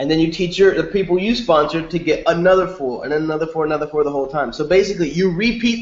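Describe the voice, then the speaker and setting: Talking at a very fast pace, a man uses a high pitch with ordinary pitch variation. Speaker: network marketing presenter. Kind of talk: webinar presentation.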